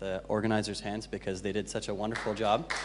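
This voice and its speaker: The man's speech carries audible echo from the room. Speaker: conference speaker, designer and developer. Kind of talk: conference talk. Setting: stage with audience. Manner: fast; hesitant, many fillers.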